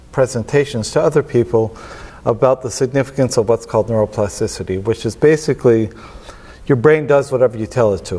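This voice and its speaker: This man's medium-pitched voice comes through with noticeable background noise. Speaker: filmmaker. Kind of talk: interview. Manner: slurs words when tired; halting, repeats words.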